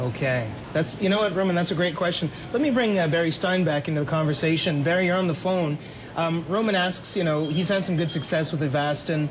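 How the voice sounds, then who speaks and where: A man speaks at a very fast pace in a high pitch with ordinary pitch variation. Noticeable background noise runs underneath. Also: very even loudness. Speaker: TV health show host and physician. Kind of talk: TV interview with call-in questions. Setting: TV studio.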